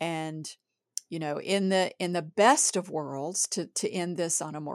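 A woman's very deep, low voice at a fairly slow pace, with ordinary pitch variation, in a very clean recording with a silent background and a dry, close sound with no echo. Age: middle-aged. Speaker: writer and editor, podcast co-host. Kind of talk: casual chat.

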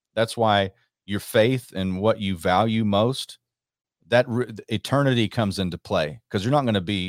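A man with an ordinary speaking voice, fairly low pitch, ordinary pitch variation and a moderate pace, in a dry, close sound with no echo and a very clean recording with a silent background. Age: 40s. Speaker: talk show guest host. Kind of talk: casual talk show conversation.

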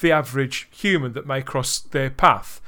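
Captured on a very clean recording with a silent background, a man speaks at a moderate pace in a bright, sharp tone. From England, Birmingham. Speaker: podcast host. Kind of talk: casual chat.

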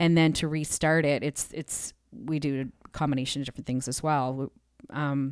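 A woman's very deep, low voice at a moderate pace with fairly even intonation, on a very clean recording with a silent background. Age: 40s. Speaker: worship leader. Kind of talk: casual interview. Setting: studio.

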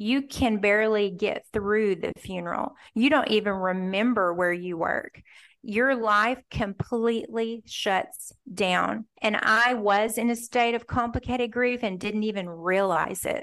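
Here is a woman with an unremarkable speaking voice, fairly high in pitch, talking at a fairly slow pace. Her pitch varies in an ordinary way, and the background is quiet. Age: 50s. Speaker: author. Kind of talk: interview.

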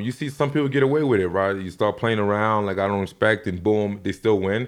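This man has a plain, everyday voice with a fairly low pitch and ordinary pitch variation. He talks at a fairly quick pace over a quiet background. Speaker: MMA coach and former fighter. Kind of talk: casual interview chat.

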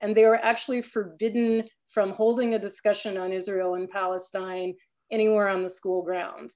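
A woman with a plain, everyday voice and an American accent speaks at a medium pitch and a moderate pace, with fairly even intonation against a quiet background. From US Midwest, Chicago area. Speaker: activist. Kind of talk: panel discussion. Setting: video call.

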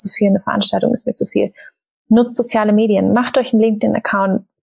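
Somewhat breathy and fairly high in pitch, a woman speaks at a fairly quick pace in a monotone, flat intonation, recorded with a dry, close sound and no echo. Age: 20s. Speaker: startup founder and author. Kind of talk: casual interview.

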